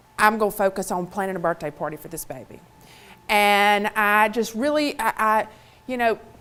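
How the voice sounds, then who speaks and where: Over a very clean recording with a silent background, a woman with a Mississippi accent speaks in a bright, sharp tone at medium pitch, with ordinary pitch variation and a moderate pace. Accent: Southern (Mississippi). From US South, Mississippi. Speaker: motivational speaker. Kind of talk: keynote talk.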